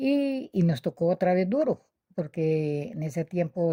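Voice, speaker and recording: At a very slow pace, a woman speaks with a fairly low pitch and a dark, mellow tone, in a dry, close sound with no echo on a very clean recording with a silent background. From Colombia, Quindío. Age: 70s. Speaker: witness of political violence. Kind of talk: personal testimony. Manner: halting.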